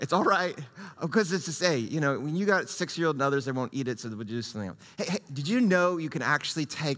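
The man's pitch varies in an ordinary way, and the background stays quiet. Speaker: pastor. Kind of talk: sermon. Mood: jovial, laughing. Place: church. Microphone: headset.

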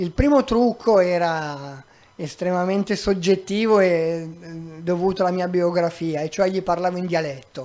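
A man speaks in a high voice. His pace is fairly slow. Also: ordinary pitch variation. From Milan, northern Italy. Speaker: migrant rights activist; guest, volunteer lawyer. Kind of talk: public talk; public talk answer. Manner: halting. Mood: calm, wry. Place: stage. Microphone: handheld.

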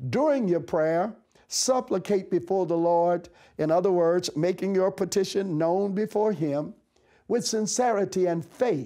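The voice has a dark, mellow tone and very even loudness, with ordinary pitch variation. It moves at a fairly slow pace against a quiet background. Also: man, high pitch for a man. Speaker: bishop. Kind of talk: sermon, devotional message to camera; fervent prayer, petitioning aloud to God. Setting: office, recorded video message. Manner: earnest, encouraging, preacherly; impassioned, rising fervent pleading tone. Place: studio. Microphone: lapel.

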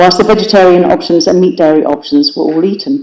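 The speaker has an English accent, heard over noticeable background noise. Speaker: city councillor. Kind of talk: council debate speech. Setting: council chamber meeting. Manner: fast.

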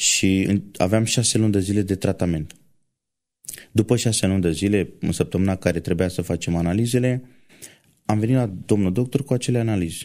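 A man speaks at a moderate pace in a fairly low, dark, mellow voice. His loudness stays very even, with ordinary pitch variation. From rural Romania. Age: 20s. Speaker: truck driver and church violinist. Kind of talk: testimony.

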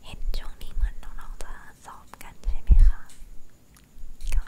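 A woman is whispering. Her words come out as a whisper throughout. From Thailand. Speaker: ASMR creator. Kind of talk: ASMR whispering, casual talk to camera. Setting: studio, close microphone recording. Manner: whispered, soft-spoken. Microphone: studio mic.

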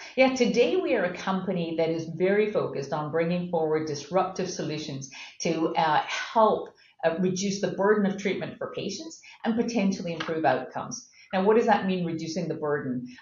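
A woman with an American accent talks at a fairly quick pace with ordinary pitch variation. Room echo is audible. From Scotland. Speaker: pharmaceutical company CEO; guest. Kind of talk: interview. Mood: calm, explanatory. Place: office. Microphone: webcam.

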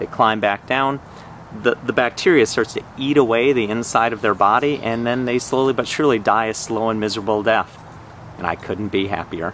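Delivered at a fairly quick pace with ordinary pitch variation, the speech has a dry sound with no echo and light background noise. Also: man. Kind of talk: casual product review tutorial. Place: garden. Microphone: phone near.

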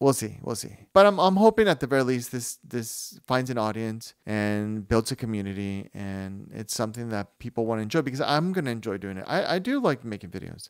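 Lively in intonation, a man talks at a fairly quick pace over a quiet background. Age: 40s. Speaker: new YouTuber. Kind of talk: casual talk to camera. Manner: rambling, hesitant. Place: home room. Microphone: handheld.

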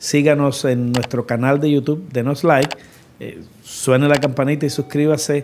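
Flat, monotone intonation comes at a moderate pace over light background noise. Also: man. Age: 60s. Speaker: podcast host. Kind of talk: interview. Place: studio. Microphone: studio mic.

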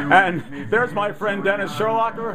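A man talks at a moderate pace with ordinary pitch variation. Clear music plays in the background. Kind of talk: nostalgic commentary.

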